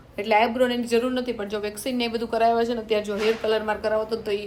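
Her pitch sits fairly high for a woman. Noticeable background noise runs underneath. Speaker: vlogger. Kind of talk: casual vlog narration. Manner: loud.

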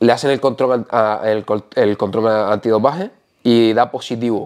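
A man is speaking. The background is quiet. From Canary Islands. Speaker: natural bodybuilder; interviewee. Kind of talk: casual interview. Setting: host's home. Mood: relaxed, animated. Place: home room. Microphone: lapel.

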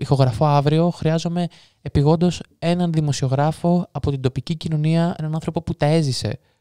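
A dark, mellow tone at a moderate pace, fairly even in intonation, with a dry, close sound and no echo. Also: man. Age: 20s. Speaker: true crime podcaster. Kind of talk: casual interview chat.

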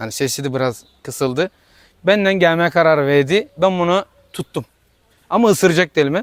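A man's high voice with ordinary pitch variation and a moderate pace, in a dry, close sound with no echo. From Tire, İzmir, Aegean Turkey. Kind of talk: interview answer.

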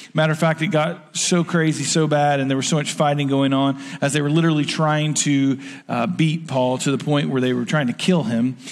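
A man is speaking. His pace is fairly quick. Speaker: preacher. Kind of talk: sermon. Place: stage.

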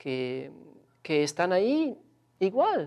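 A man is speaking. The background stays quiet. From Switzerland. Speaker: researcher. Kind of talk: interview. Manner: halting, hesitant. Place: studio. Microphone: lapel.

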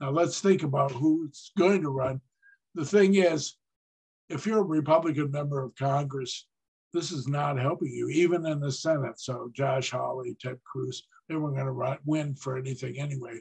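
Somewhat breathy speech at a moderate pace carries ordinary pitch variation against a quiet background. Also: man. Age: 70s. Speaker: political analyst. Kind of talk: lecture. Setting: stage with audience. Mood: opinionated, lively. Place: home room. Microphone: webcam.

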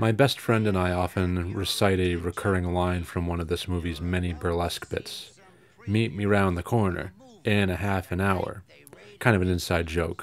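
His intonation is fairly even. The man's voice is very deep and low in pitch. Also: moderate pace. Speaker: filmmaker. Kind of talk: film commentary. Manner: casual, humorous.

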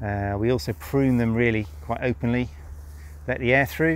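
Fairly even intonation from a man, moderate in pace. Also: medium pitch for a man.

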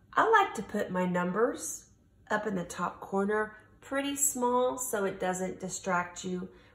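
There is audible room echo on this recording of a woman. She speaks at a fairly slow pace. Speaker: teacher. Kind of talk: tutorial. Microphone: phone near.

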